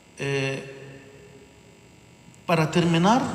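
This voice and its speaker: There's noticeable background noise and audible room echo as a man speaks very slowly with ordinary pitch variation. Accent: Egyptian. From Egypt. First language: Arabic (speaking Spanish). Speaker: bishop. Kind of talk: sermon. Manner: halting.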